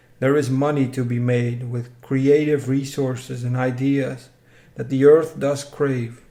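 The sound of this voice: A man speaks slowly in a dark, mellow tone at medium pitch. His voice shows little pitch movement.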